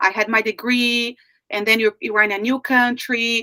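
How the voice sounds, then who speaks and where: In a dry, close sound with no echo, a woman with a Brazilian Portuguese accent speaks at a fairly slow pace in a bright, sharp tone, her fairly high pitch showing ordinary variation. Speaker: life coach. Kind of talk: interview.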